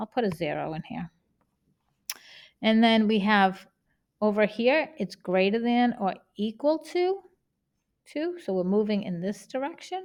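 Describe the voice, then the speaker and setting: A woman with a Boston accent talks at a fairly slow pace, her fairly high voice swinging very widely in pitch. She leaves long, frequent pauses, and the recording is very clean with a silent background. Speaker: math teacher. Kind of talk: tutorial.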